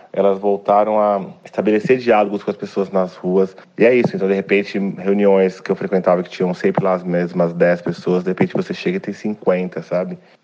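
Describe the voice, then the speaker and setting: Over noticeable background noise, a man talks fairly quickly at a fairly low pitch with fairly even intonation. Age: 40s. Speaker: activist. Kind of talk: interview.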